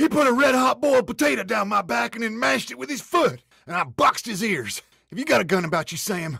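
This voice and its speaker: A man puts on a whiny character voice in a rural American accent, high-pitched, raised and projected. He talks very fast with very wide pitch swings. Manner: nervous, whining.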